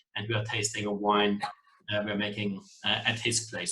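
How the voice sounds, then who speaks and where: A man with a German accent. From German background, Spanish national. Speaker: wine producer, master of wine. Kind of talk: online wine masterclass presentation. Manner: hesitant, many fillers.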